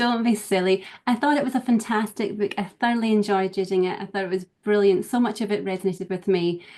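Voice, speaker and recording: With a quiet background, a woman speaks at a very fast pace using fairly even intonation. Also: medium pitch for a woman. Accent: Scottish. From Scottish Highlands. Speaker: professional organiser. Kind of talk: casual interview chat. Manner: calm, gentle.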